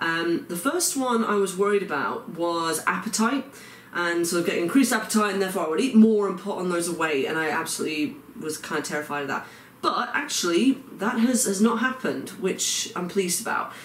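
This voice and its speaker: In an English accent, a man talks at a fairly quick pace with a high pitch and lively intonation. Audible room echo and noticeable background noise surround him. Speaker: vlogger. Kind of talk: video diary. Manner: hesitant, many fillers.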